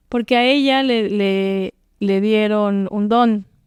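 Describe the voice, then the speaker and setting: Speaking at a very slow pace, a woman keeps her medium-pitched voice in fairly even intonation. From Oaxaca, Mexico. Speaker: singer-songwriter and actress. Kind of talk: interview answer.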